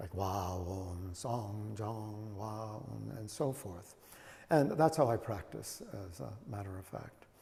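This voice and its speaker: The voice has a dark, mellow tone, somewhat breathy, with ordinary pitch variation and big swings in loudness. Delivery is very slow, and room echo is audible. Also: man, fairly low pitch for a man. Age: 70s. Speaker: Zen teacher. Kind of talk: dharma talk with questions. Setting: meditation hall. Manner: halting, many fillers.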